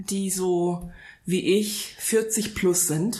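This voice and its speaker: Audible room echo surrounds the speaker. She is a woman with a medium-pitched voice. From Frankfurt area, Hesse. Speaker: wedding celebrant. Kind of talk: casual chat.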